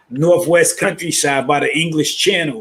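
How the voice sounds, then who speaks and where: A man with a New York accent and a fairly high voice speaks at a fairly slow pace. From New York (Brooklyn). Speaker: caller. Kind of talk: casual chat.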